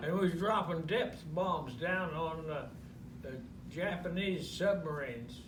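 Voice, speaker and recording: A man's high voice with an American accent, fairly slow pace and ordinary pitch variation, over noticeable background noise. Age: 80s+. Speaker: war veteran. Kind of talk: interview answer.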